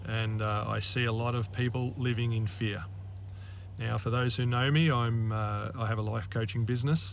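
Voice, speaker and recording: A man with an Australian accent speaks at a medium pitch, somewhat breathy, with fairly even intonation and very even loudness. Audible room echo surrounds his voice. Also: moderate pace. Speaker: life coach. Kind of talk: monologue to camera. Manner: halting, many fillers.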